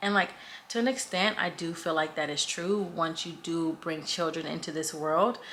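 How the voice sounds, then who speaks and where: A woman at a moderate pace, with a fairly low pitch, ordinary pitch variation and noticeable background noise. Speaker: vlogger, mom of twins. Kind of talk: casual chat. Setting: at home, kids asleep upstairs. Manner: loud; lowered voice.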